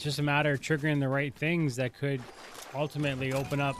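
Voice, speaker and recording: Over music in the background, a man talks fairly quickly at a fairly high pitch in a flat monotone. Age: 40s. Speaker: gaming streamer. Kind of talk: casual chat. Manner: halting.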